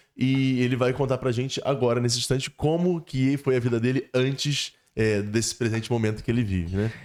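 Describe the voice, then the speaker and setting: Ordinary pitch variation and a fairly quick pace in a normal speaking voice. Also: man. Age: young. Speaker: priest and podcast host. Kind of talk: podcast interview.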